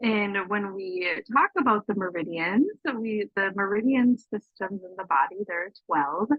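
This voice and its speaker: Using lively intonation, a woman of medium pitch speaks at a fairly slow pace in an ordinary speaking voice. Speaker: yoga instructor. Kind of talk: yoga class instruction. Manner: calm, slow.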